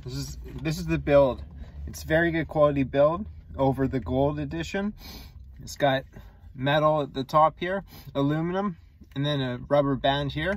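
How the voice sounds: A man talks at a moderate pace in a fairly high pitch, with ordinary pitch variation and long, frequent pauses.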